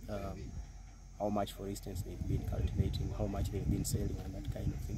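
Loud background noise surrounds a man whose voice sounds dry, with no echo. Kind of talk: interview answer. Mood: calm, proud. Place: farm machine.

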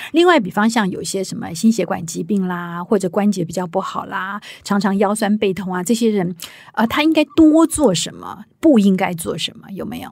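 Somewhat breathy, a woman talks at a medium pitch and moderate pace, with lively intonation and big swings in loudness. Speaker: podcast host. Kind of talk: interview.

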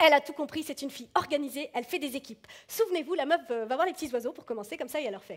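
The woman's words come out at a very fast pace. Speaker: stand-up comedian. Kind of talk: stand-up comedy routine. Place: stage. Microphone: headset.

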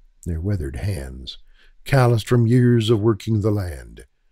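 A man speaks with a fairly low pitch and a dark, mellow tone that is somewhat breathy. His delivery is dramatic, with very wide pitch swings. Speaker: audiobook narrator. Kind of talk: literary audiobook narration. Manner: measured, dramatic storytelling delivery, formal and atmospheric.

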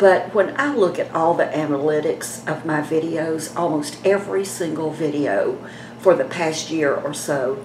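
In a space with audible room echo and light background noise, a woman of fairly low pitch talks with lively intonation. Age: 70s. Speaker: beauty vlogger. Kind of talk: casual vlog talk to camera. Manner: chatty. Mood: chatty, gently persuasive. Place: home room. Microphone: phone near.

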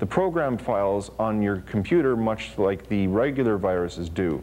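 A man at a moderate pace, with light background noise. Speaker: TV show co-host. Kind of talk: lecture. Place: studio. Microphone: lapel.

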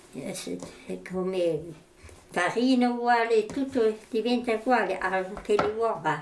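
A woman with a fairly high pitch speaks at a very slow pace. Her pitch varies in an ordinary way over light background noise. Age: 80s+. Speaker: farmer's mother, home cook. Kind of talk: cooking demonstration. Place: kitchen.

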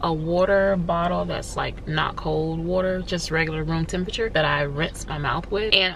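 At a moderate pace and with hardly any pauses, a woman speaks in a dry recording with no echo and light background noise. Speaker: vlogger. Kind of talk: casual vlog chat. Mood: relaxed, animated. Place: car. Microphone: phone near.

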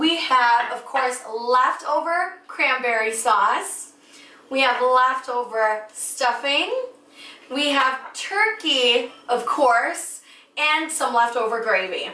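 Amid audible room echo, a woman speaks very slowly in a raised, projected voice with ordinary pitch variation. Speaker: cooking show host. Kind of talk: tutorial. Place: kitchen.

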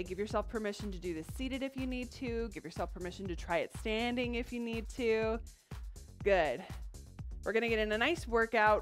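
Faint music plays in the background as a woman talks at a fairly quick pace. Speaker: fitness instructor. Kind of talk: workout class instruction. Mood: upbeat, encouraging. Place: studio.

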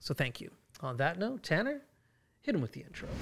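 The speaker is a man. He talks at a very fast pace. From Fort McMurray, Alberta, Canada. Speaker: podcast host. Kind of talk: interview question, casual conversational talk. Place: studio. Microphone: studio mic.

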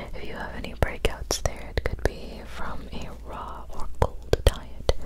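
Over loud background noise, a soft-spoken woman talks at a very slow pace. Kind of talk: soft-spoken roleplay explanation. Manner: soft, close, hushed ASMR voice. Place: home room. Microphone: studio mic.

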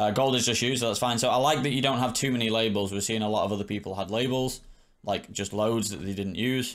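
Over a quiet background, a man talks at a very fast pace with fairly even intonation. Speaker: poker coach streamer. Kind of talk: commentary. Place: home room.

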